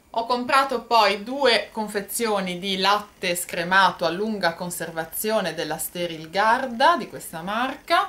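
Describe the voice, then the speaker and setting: At a fairly slow pace, a woman with a fairly high pitch swings her voice very widely. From Italy, Genoa. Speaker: YouTuber. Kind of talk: product haul vlog. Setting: bedroom at home. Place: home room. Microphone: phone near.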